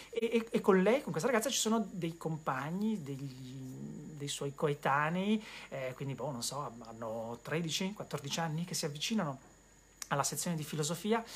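This man talks fairly slowly, his voice somewhat breathy and his intonation lively. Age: 40s. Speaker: bookseller and web show host. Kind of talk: solo live-stream monologue about books. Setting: bookshop, live web stream. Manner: hesitant with repetitions.

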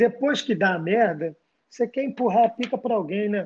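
A man talks with lively intonation at a high pitch. His pace is moderate. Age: 30s. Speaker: sports journalist. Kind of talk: casual chat.

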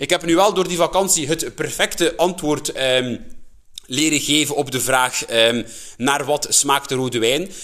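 A man with a Flemish accent speaks at a fairly slow pace in a fairly high pitch. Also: ordinary pitch variation. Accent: Flemish Dutch. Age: 20s. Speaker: podcast host. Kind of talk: casual monologue. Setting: at home.

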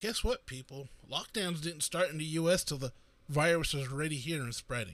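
A man with an American accent has an ordinary speaking voice, fairly high in pitch, with ordinary pitch variation at a moderate pace. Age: 40s. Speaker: podcaster. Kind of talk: solo political commentary. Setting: live stream.

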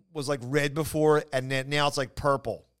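With a Philadelphia accent, a man talks at a fairly quick pace and fairly high pitch on a very clean recording with a silent background. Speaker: comedian. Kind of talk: casual chat.

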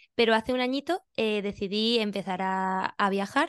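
A woman with an ordinary speaking voice talks at a fairly high pitch with ordinary pitch variation, the sound dry and close with no echo. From Spain, Valencia region (Benidorm). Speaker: pilates teacher and physiotherapist. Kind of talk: interview.

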